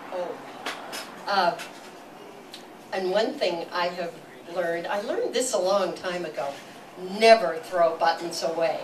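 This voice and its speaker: Noticeable background noise sits behind a woman with a fairly low pitch and ordinary pitch variation. She speaks at a fairly slow pace, with long, frequent pauses. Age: 80s+. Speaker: storyteller. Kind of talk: live storytelling to audience. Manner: descriptive, humorous, meandering.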